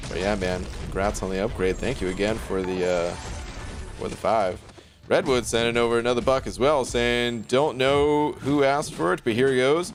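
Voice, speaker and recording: Over noticeable background noise, a man with an American accent and a medium-pitched voice talks at a moderate pace with lively intonation. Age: 30s. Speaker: game streamer. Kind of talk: live stream chat. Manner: casual.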